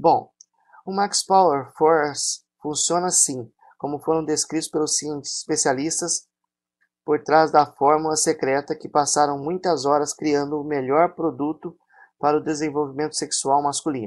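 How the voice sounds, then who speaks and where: In a Brazilian accent, a man speaks at a moderate pace with a fairly high pitch and fairly even intonation, in a very clean recording with a silent background. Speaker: product promoter. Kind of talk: infomercial sales pitch. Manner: pushy, repetitive hard-sell urging to buy; hyped, exaggerated promises.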